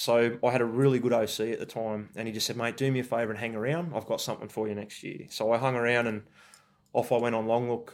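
A man's medium-pitched, monotone voice at a very fast pace, flat in intonation, on a very clean recording with a silent background. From Australia, rural New South Wales. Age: 40s. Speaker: army veteran. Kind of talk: interview.

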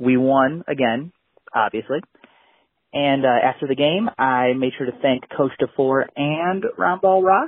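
A man uses a normal speaking voice at a moderate pace. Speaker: listener caller. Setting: phone call.

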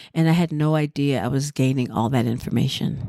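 A woman's very deep, low voice carries a dark, mellow tone with ordinary pitch variation. She keeps a moderate pace on a very clean recording with a silent background. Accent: American. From US South, Durham, North Carolina. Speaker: professional dancer and choreographer. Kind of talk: casual interview. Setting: dance festival.

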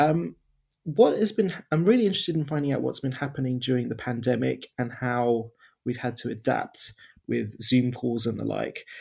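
Somewhat breathy, a man speaks in a medium pitch at a moderate pace with ordinary pitch variation. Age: 30s. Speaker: podcast host. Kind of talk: casual chat. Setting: remote recording.

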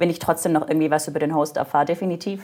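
Noticeable background noise runs through the clip. A woman is speaking. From Germany. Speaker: corporate podcast host in corporate communications. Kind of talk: interview conversation.

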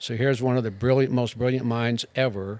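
This man speaks in a monotone, with flat intonation. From Wyoming. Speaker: art professor. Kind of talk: casual chat.

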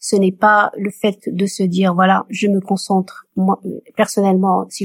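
A woman speaks at a fairly slow pace in a medium-pitched, somewhat breathy voice, with a dry, close sound and no echo. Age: 50s. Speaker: community volunteer helping singles marry. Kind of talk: casual chat.

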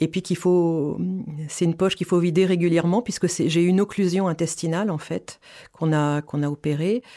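The voice has a dark, mellow tone, fairly even intonation and a fairly quick pace, heard in a very clean recording with a silent background. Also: woman, fairly low pitch for a woman. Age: 50s. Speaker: cancer patient. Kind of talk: testimony. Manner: halting.

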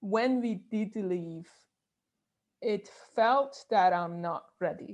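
Very slow speech in a Persian accent, against a quiet background. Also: woman. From Iran (Tehran). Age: 30s. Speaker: neuroscientist and bioengineer. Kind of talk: interview.

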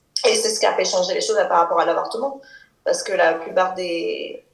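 There is audible room echo around a woman's voice. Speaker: French expatriate. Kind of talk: casual interview. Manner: halting.

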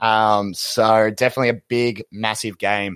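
The speech comes in an Australian accent with monotone, flat intonation, in a dry, close sound with no echo on a very clean recording with a silent background. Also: man. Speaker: podcast co-host. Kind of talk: casual chat.

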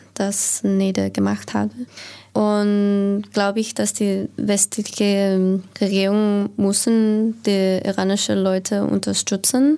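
Speaking at a very slow pace in a monotone, flat intonation, a woman keeps her dark, mellow tone at a very even loudness on a very clean recording with a silent background. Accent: English. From United States. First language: English (speaking German). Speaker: diplomat. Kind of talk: panel discussion.

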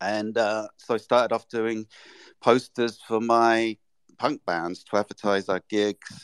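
In an English accent, a man speaks at a fairly slow pace with a fairly low pitch and monotone, flat intonation. The sound is dry and close, with no echo. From England. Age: 60s. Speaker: artist and illustrator. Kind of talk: interview.

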